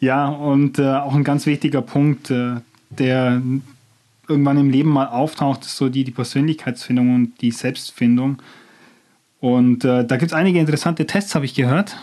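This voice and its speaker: This man has a fairly high pitch and a dark, mellow tone, talking at a moderate pace with fairly even intonation. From Bavarian Swabia, near Nördlingen. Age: 20s. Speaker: marketing student and trainee. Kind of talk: casual chat.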